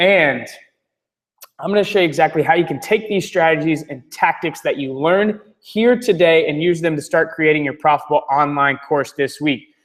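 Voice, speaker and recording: This man has an American accent and ordinary pitch variation. He talks at a fairly quick pace. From North Florida. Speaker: webinar presenter. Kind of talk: webinar sales presentation. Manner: fast; animated.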